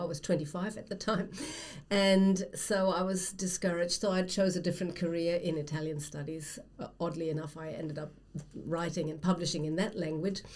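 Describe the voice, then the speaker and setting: A woman speaks in a fairly low, somewhat breathy voice with a German accent. Her pace is fairly quick and her intonation fairly even. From Germany. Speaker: writer, former academic. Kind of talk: casual conversation.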